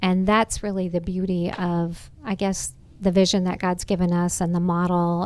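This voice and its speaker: A woman with an American accent speaks at a fairly slow pace, her pitch medium. The recording is very clean, with a silent background. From Nebraska, US Midwest. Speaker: charity executive director. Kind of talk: interview on a facility tour. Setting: on location at a community center.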